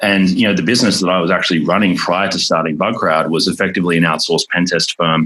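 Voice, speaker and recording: Over noticeable background noise, a man with an Australian accent talks very fast in a very deep, low voice, with fairly even intonation and very even loudness. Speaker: tech company founder. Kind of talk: interview. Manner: many fillers and repetitions.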